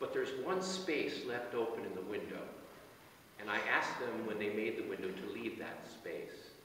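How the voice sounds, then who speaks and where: A man speaks at a moderate pace in a calm tone. Audible room echo and light background noise come through. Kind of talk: sermon at a burial service, reading psalm and offering comfort; memorial address. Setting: outdoor cemetery committal, small gathering. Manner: calm, measured, pastoral, with occasional hesitations. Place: church.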